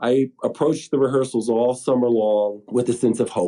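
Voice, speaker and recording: In a Colorado accent, a man speaks at a moderate pace, his tone dark and mellow, with ordinary pitch variation. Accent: American (Colorado). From Colorado, US. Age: 60s. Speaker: pulmonary hypertension patient. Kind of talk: testimony.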